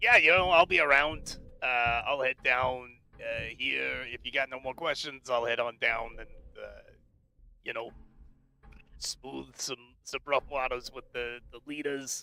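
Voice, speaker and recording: Putting on a character voice, a man speaks at a fairly slow pace with fairly even intonation, big swings in loudness, and long, frequent pauses. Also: medium pitch for a man. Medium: actual play. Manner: casual, chatty.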